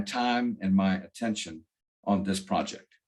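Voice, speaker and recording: A man with a North Carolina accent speaks with ordinary pitch variation against a quiet background. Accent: Southern US (North Carolina). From US South, northwestern North Carolina. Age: 70s. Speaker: author, retired attorney. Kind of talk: interview. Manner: halting, many fillers and repeats.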